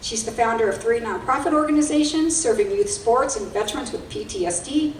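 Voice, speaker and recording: Her pitch swinging very widely, a woman speaks over noticeable background noise. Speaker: nonprofit alliance CEO. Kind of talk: event host announcements and speaker introduction.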